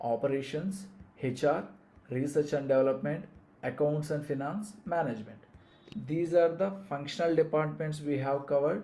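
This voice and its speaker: Somewhat breathy and dark, mellow in tone, the voice carries a Telugu accent at a moderate pace with audible room echo. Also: man. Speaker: business coach. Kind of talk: live online lecture. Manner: hesitant, many fillers and restarts.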